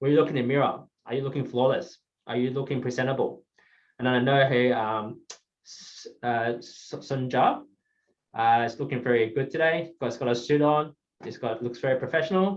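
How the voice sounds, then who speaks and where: A man's voice sits at a medium pitch. It shifts up and down an ordinary amount. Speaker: guest speaker on professional presentation. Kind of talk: presentation to mentees. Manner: fast; hesitant, many fillers.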